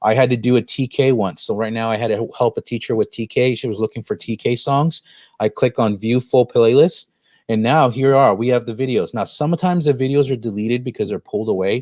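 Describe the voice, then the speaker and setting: A man speaks at a medium pitch with ordinary pitch variation. His fairly quick delivery sounds dry and close, with no echo. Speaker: education technology coach. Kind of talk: online workshop tutorial. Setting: live stream screen share. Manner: fast.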